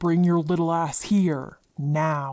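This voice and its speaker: The pitch is in the middle range. The speaker puts on a character voice. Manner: angry.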